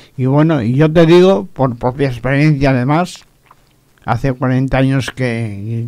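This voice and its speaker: Very slow speech from a man, medium in pitch, with ordinary pitch variation. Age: 70s. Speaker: radio preacher. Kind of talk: radio sermon.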